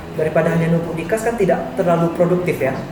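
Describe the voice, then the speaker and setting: Music plays in the background of a room with audible echo. A soft-spoken man talks at a fairly quick pace with a fairly high pitch. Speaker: university lecturer. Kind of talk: lecture.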